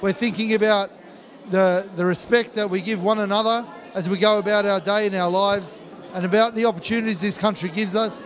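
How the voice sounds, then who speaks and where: Speaking at a fairly quick pace, a man with an Australian accent has a high pitch and fairly even intonation, with light background noise. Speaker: mayor. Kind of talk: formal speech. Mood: warm, celebratory. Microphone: handheld.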